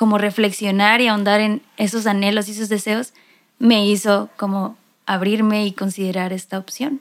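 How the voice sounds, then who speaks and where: A normal speaking voice from a woman, fairly high in pitch, with fairly even intonation at a fairly slow pace. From Mexico, Mexicali. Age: 20s. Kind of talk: casual chat. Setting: recording in same room as other guest.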